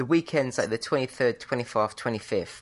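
A woman with a British accent and a very deep, low pitch against a quiet background. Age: 30s. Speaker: podcast co-host. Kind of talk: casual chat.

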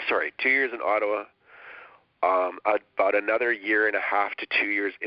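A man speaks at a moderate pace with a Canadian accent. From Canadian prairies. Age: 40s. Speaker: chef and caterer. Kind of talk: interview.

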